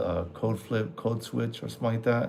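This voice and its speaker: With vocal fry, a man speaks at a moderate pace. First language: Spanish. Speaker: military veteran aircraft maintenance mentor. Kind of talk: livestream Q&A, casual. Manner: casual, halting with fillers.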